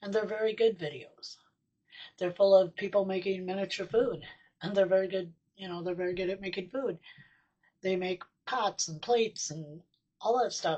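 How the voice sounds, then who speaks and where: With an American accent, a woman speaks at medium pitch and a moderate pace in a dark, mellow tone, her intonation fairly even, with long, frequent pauses and big swings in loudness. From US Midwest, Sioux Falls, South Dakota. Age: 60s. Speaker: miniaturist YouTuber. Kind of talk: casual vlog talk. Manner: hesitant, many fillers.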